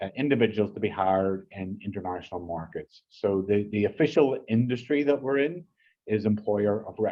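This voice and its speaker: A fairly low-pitched man with an Irish accent, moderate pace, ordinary pitch variation and big swings in loudness. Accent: Irish, still noticeable after 14 years in US. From Ireland. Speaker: business partnerships manager. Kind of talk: business presentation. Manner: halting, many repetitions and fillers.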